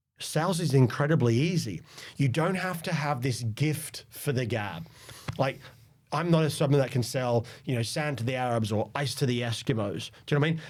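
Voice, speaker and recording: A man with a medium pitch talks at a fairly quick pace, somewhat breathy, with ordinary pitch variation. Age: 40s. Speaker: sales leader. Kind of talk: interview.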